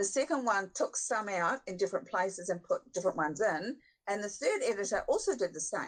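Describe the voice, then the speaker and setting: In a New Zealand accent, the speaker talks at a moderate pace. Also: woman. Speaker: book editor. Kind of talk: podcast interview.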